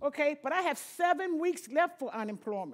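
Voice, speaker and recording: At a moderate pace, a woman talks in a high voice with very wide pitch swings. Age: 60s. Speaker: retired housekeeper speaking as an affected citizen. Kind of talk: personal testimony at a rally. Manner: emotional, halting.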